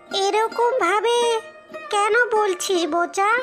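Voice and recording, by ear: A woman uses a cartoonish character voice at an extremely high pitch with fairly even intonation. Clear music plays in the background.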